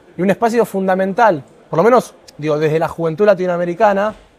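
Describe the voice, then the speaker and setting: At a very fast pace, a man speaks in a high voice. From Argentina. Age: 20s. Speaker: environmental activist; interviewee. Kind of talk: interview. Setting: conference pavilion set. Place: hall.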